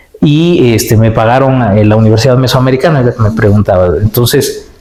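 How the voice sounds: Audible room echo around a man at medium pitch, slightly mellow in tone, fairly quick in pace, with ordinary pitch variation.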